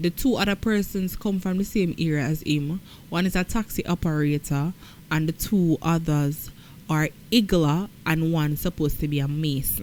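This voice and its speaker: The speaker has a Jamaican accent. Pitch varies in an ordinary way. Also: woman, fairly low pitch for a woman, moderate pace, very even loudness. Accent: Jamaican, patois-inflected. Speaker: news commentator. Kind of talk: news commentary.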